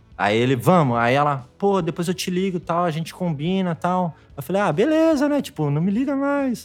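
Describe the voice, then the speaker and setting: Speaking at a moderate pace with hardly any pauses, a man uses a high voice with very wide pitch swings. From interior of São Paulo state, Brazil. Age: 30s. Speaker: tattoo artist. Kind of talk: casual chat.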